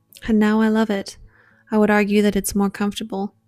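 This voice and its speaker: A soft-spoken woman speaks in a monotone, flat intonation, with a dry, close sound with no echo and a very clean recording with a silent background. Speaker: lifestyle vlogger. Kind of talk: scripted narration.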